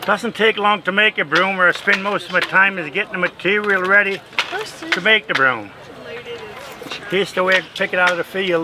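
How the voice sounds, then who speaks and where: Amid noticeable background noise, a man with a high pitch and fairly even intonation uses a raised, projected voice, with long, frequent pauses. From South Dakota, around Mitchell, German-speaking home. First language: German. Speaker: broom maker, craft demonstrator. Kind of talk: craft demonstration and interview.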